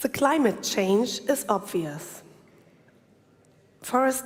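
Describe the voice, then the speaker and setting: A woman's very slow speech in a German accent. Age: 40s. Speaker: urban planner. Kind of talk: conference presentation. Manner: halting.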